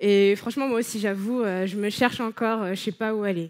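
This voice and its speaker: A woman with an ordinary speaking voice talks at a fairly quick pace, fairly high in pitch, with fairly even intonation. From France, Paris. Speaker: speaker, arts writer and blogger. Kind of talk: conference talk.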